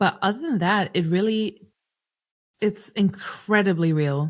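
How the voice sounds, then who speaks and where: Using long, frequent pauses, a woman with a German accent speaks at a very slow pace and medium pitch with ordinary pitch variation. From Germany. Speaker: singer-songwriter and producer. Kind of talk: podcast interview. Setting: podcast recording.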